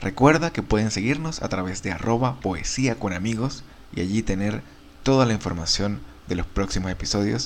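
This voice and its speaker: Using an ordinary speaking voice, a man talks at a moderate pace and a fairly low pitch with lively intonation. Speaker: podcast host. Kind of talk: podcast intro and outro, scripted-sounding welcome. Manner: warm, friendly, formal.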